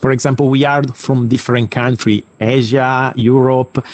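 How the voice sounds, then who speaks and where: At a moderate pace, someone talks with an Italian accent. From Italy. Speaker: sports academy representative, former kickboxer. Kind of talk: invited talk. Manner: halting, many fillers.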